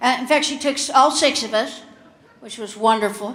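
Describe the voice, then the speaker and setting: A woman with a Kentucky accent speaks at a fairly high pitch with fairly even intonation, her voice carrying audible room echo over noticeable background noise. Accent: Southern US (Kentucky). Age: 60s. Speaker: comedian. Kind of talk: stand-up. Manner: halting, with fillers.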